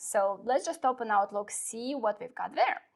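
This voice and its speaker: Over a quiet background, a woman speaks at a moderate pace with a non-native accent. Her pitch is fairly high. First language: not English. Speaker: software product specialist. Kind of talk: product demo in a live webinar. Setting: live online webinar. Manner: hesitant, many fillers.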